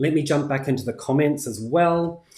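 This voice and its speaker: A man with a New Zealand accent talks at a fairly quick pace. The background is quiet, and room echo is audible. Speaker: crafting YouTuber. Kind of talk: live stream tutorial and chat. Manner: casual, many fillers. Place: home room.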